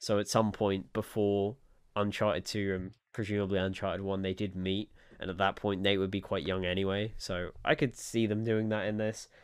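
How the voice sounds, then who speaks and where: Speaking at a moderate pace, a man with a fairly low pitch keeps a monotone, flat intonation. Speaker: gaming podcast co-host. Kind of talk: casual chat.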